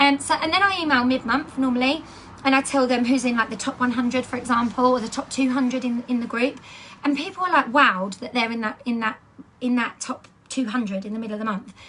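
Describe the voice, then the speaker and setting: Over noticeable background noise, a woman with an English accent speaks at a very fast pace in an animated tone, her high pitch showing ordinary pitch variation. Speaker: direct sales team leader. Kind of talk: training talk.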